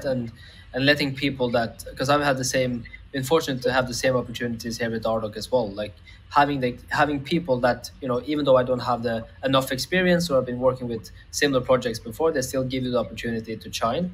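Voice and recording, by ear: At a fast pace with few pauses, a man talks at medium pitch with ordinary pitch variation.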